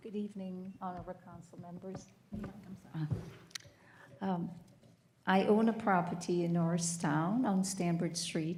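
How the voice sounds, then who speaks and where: Somewhat breathy, fairly low-pitched speech from a woman at a moderate pace, with monotone, flat intonation and audible room echo. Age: 70s. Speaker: homeowner speaking at public comment. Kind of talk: public comment at council meeting. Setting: municipal council meeting hall. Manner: halting.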